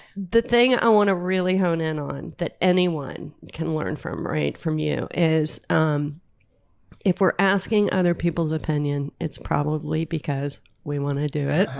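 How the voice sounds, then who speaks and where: A woman with an American accent speaks at a very deep, low pitch and a fairly slow pace, with ordinary pitch variation. The recording is very clean with a silent background. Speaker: interview host. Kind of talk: interview. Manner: animated.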